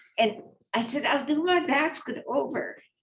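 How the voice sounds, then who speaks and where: A woman speaks at a fairly slow pace, somewhat breathy. Her pitch swings very wide. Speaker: basket weaver. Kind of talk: storytelling in a panel talk.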